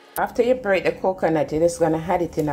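A woman with a fairly low pitch uses a normal speaking voice over light background noise. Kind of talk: tutorial. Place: kitchen. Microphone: phone near.

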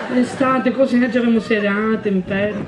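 A man with a high voice talks at a very fast pace in a flat monotone while crowd noise fills the background. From Sicily. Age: 20s. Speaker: actor, cabaret comedian. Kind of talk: comedy sketch, interrogator straight man. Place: stage. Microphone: handheld.

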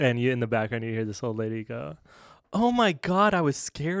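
A man talks at a fairly slow pace with very wide pitch swings. The background is quiet, and the sound is dry with no echo. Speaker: podcast co-host. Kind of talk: casual podcast storytelling. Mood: amused, laughing while telling story. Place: studio. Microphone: studio mic.

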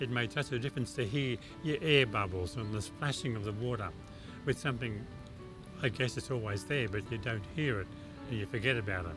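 Over clear music in the background, a man speaks at a medium pitch and a fairly quick pace. His long, frequent pauses come through in a dry sound with no echo. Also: ordinary pitch variation. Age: 70s. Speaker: cochlear implant recipient. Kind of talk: interview answer. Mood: warm, enthusiastic. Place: garden.

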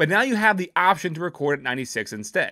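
A man talks at a very fast pace in a raised, projected voice. His pitch rises and falls in very wide swings. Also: quiet background. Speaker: tech reviewer. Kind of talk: product review talk. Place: home room. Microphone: studio mic.

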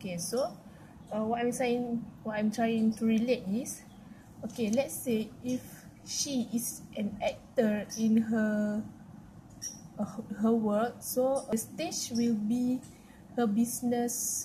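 Very slowly and with long, frequent pauses, a woman speaks in a fairly high pitch, her tone dark and mellow and somewhat breathy, against light background noise. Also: fairly even intonation. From Malaysia. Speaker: university student. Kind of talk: class presentation. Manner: halting, many fillers. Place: home room. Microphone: webcam.

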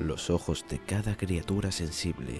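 Music plays in the background. Over it, a man speaks with a very deep, low pitch and ordinary pitch variation. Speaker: narrator. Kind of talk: game lore narration.

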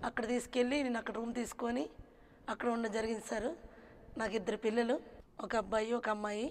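This woman has an unremarkable speaking voice, fairly high in pitch, with fairly even intonation. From Srikakulam district, north coastal Andhra Pradesh; Andhra Pradesh. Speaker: burrakatha folk performer; interview guest. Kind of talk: interview. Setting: studio. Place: studio. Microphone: lapel.

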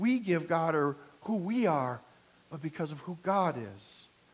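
A man speaks with lively intonation. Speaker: pastor. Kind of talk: sermon. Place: church.

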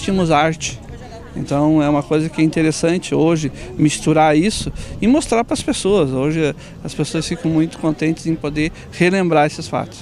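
A man talks at a moderate pace with fairly even intonation, in a dry sound with no echo and light background noise. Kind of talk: interview answer. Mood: calm, reflective. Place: street. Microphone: handheld.

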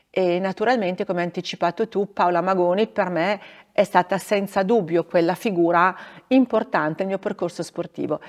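Against a quiet background, a woman with a fairly low pitch talks at a fairly quick pace with ordinary pitch variation. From northern Italy, Bergamo area; northern Italy. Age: 50s. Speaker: former ski racer and regional politician; regional politician. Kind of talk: interview. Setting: theatre. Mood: calm, warm, reflective. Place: stage.

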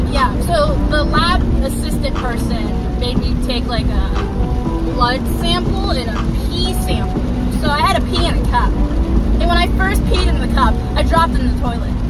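A woman talks at a moderate pace with long, frequent pauses. The sound is dry with no echo, and music plays in the background. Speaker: driver vlogger. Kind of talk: casual vlog chat. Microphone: phone near.

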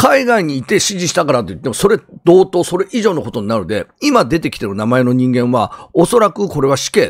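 This man's fairly high voice carries vocal fry and very wide pitch swings. He talks at a fairly quick pace with hardly any pauses. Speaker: YouTuber and ex-convict commentator. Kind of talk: crime news commentary monologue. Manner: rambling, many filler words.

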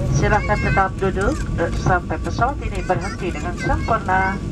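Moderate pace from a woman, with loud background noise. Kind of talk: in-flight announcement. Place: plane.

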